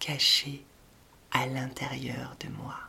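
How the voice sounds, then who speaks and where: Spoken at a very slow pace, the voice has a calm, gentle tone. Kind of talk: guided meditation for children, repeating a mantra. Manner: slow, calm, gentle, with long pauses between repeated phrases; soft-spoken and warm, encouraging, addressing a child as 'tu'.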